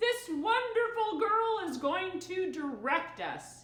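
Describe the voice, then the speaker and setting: Putting on a character voice, a woman speaks fairly slowly at an extremely high pitch, with a slight echo. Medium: read story.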